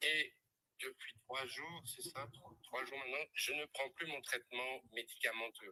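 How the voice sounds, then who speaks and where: A man speaks at a fairly slow pace in a bright, sharp tone with fairly even intonation and big swings in loudness. The sound is dry and close, with no echo. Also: fairly high pitch for a man. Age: 60s. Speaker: live stream testimony guest, former clinic director. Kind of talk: testimony.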